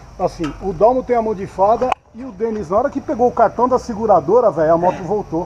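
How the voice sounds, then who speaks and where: A man speaks at a moderate pace in a high pitch. Light background noise can be heard. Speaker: motorcycle vlogger. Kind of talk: casual vlog chat. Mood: joking, relaxed. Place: street. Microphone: phone near.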